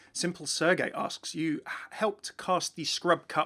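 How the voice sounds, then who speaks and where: On a very clean recording with a silent background, a man with a southern English accent speaks with lively intonation. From southern England, near London. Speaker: gaming YouTuber. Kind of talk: Q&A answering viewer questions. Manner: fast; animated.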